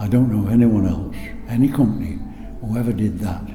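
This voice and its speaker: Spoken at a fairly slow pace in an East Midlands accent, the clip carries noticeable background noise and audible room echo. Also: man. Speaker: former factory worker, war veteran. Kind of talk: oral history interview.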